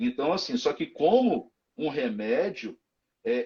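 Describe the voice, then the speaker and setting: At a fairly slow pace, a man with a dark, mellow tone makes very wide pitch swings. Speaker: physical education professional in hospitals. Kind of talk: live stream interview.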